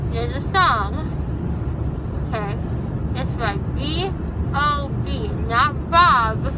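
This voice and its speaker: Loud background noise fills the clip. Through it, a woman speaks at a very slow pace. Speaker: vlogger. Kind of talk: casual vlog chat. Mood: animated, complaining, joking. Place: car. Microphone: phone near.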